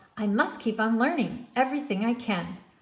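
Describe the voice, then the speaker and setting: At a fairly quick pace, a woman puts on a character voice pitched fairly high. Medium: read story. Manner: earnest.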